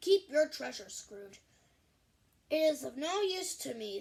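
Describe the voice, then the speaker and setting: Slowing to a fairly slow pace, a woman puts on a character voice with a high pitch. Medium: read story. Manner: booming, jovial.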